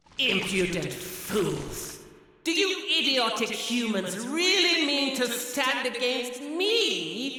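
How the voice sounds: In a put-on character voice with a bright, sharp tone, the speaker moves at a slow pace with few pauses and big pitch swings.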